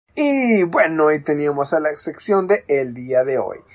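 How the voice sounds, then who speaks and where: With very wide pitch swings, a woman speaks. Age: 20s. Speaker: youth radio host, university student. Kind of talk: casual radio show hosting.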